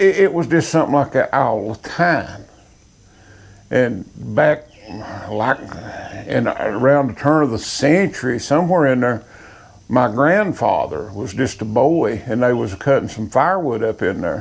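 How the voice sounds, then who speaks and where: Pausing long and often, a man with an Appalachian accent talks at a fairly slow pace in a medium pitch with lively intonation. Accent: Appalachian Southern US. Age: 60s. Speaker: sawmill operator. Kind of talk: casual storytelling monologue.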